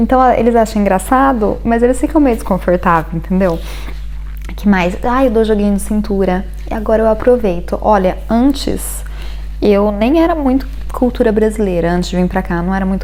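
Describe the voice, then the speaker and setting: Audible room echo and noticeable background noise accompany a woman speaking at a moderate pace. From Brazil. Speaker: vlogger. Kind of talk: casual vlog talk. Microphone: bad audio.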